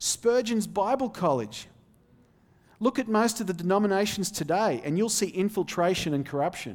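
A high-pitched man with an Australian accent, lively intonation, moderate pace and very even loudness. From Australia, outback. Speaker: visiting preacher, seminary student. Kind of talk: sermon. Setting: church pulpit.

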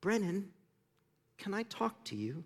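Here is a squeaky, put-on character voice. Its pitch variation is ordinary. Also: man.

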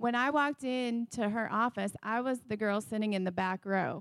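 A woman with an American accent speaks at a moderate pace with fairly high pitch and ordinary pitch variation, on a very clean recording with a silent background and a dry, close sound with no echo. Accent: northern US accent others notice. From Wisconsin. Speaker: forensic DNA scientist, pastor's wife. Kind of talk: sermon testimony. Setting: church with congregation.

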